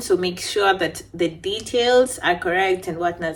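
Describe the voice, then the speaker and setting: A woman with lively intonation talks at a very slow pace and a medium pitch. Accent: non-native. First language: not English. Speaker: beauty vlogger. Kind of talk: casual storytime chat. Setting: at home.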